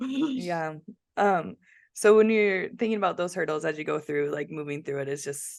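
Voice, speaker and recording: Speaking at a moderate pace in a normal speaking voice, a woman uses a fairly low pitch and lively intonation. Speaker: podcast host. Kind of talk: casual podcast interview.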